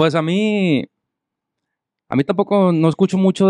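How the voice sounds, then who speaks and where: A man's dark, mellow tone at a moderate pace, dry and close with no echo, over a quiet background. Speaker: musician, harmony guitarist and singer. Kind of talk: casual chat. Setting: studio.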